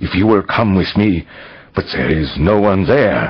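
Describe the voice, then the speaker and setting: In a growling put-on character voice, a man speaks at a moderate pace and fairly low pitch with an anxious tone and lively intonation. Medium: read story. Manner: deferential, anxious.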